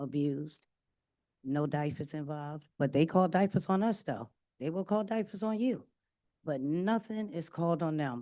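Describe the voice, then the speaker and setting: Over a quiet background, a woman with a very deep, low pitch and a dark, mellow tone talks at a moderate pace with lively intonation. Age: 60s. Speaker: public commenter, resident. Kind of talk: public comment. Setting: council meeting.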